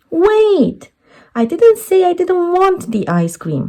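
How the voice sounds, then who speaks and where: Squeaky and extremely high-pitched, a woman does a put-on character voice at a very slow pace. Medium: read story. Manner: polite, earnest.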